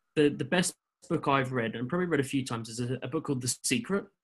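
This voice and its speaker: With an English accent, a man talks in a somewhat breathy voice with ordinary pitch variation. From England. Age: 20s. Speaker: driving instructor. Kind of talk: interview. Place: home room. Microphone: webcam.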